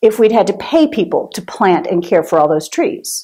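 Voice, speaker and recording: A woman with a medium-pitched, ordinary speaking voice talks at a fairly slow pace with lively intonation. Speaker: minister giving a sermon. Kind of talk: sermon to a congregation.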